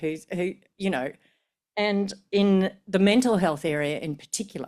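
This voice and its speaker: Lively intonation marks a woman's medium-pitched voice with an Australian accent. The recording is very clean with a silent background. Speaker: professor of medicine. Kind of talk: conference talk. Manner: hesitant, with fillers and repetitions.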